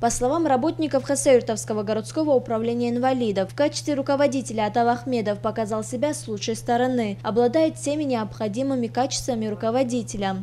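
Amid noticeable background noise, a woman speaks at a very fast pace with hardly any pauses. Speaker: TV news reporter. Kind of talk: TV news report narration.

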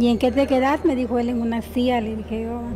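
A woman talks as clear music sounds in the background. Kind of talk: interview answer. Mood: sad, emotional. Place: hall. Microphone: handheld.

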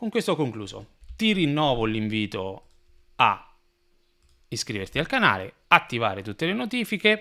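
A man's bright, sharp voice with very wide pitch swings, at a moderate pace with long, frequent pauses, against a quiet background. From Italy. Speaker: building surveyor explaining housing law. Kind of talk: solo explainer video. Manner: hesitant, many fillers. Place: home room. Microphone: studio mic.

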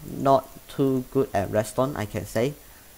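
The speaker has a Chinese accent and ordinary pitch variation. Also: man. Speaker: gaming YouTuber. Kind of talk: tutorial. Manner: halting.

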